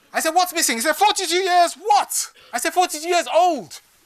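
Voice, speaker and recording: Raising and projecting his voice, a man talks at a very fast pace in an animated tone. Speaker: business speaker. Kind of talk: keynote talk.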